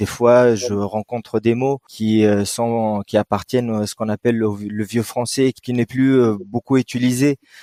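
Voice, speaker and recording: A man's medium-pitched, dark, mellow voice at a fairly slow pace, hardly any pauses, fairly even intonation, and a dry, close sound with no echo. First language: Arabic (speaking French). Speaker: writer. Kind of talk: interview. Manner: hesitant, many fillers.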